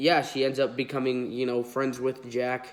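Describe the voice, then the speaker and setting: A man speaks with a nasal voice. His intonation is monotone and flat. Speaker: toy collector YouTuber. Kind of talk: unboxing video. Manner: casual, filler-heavy.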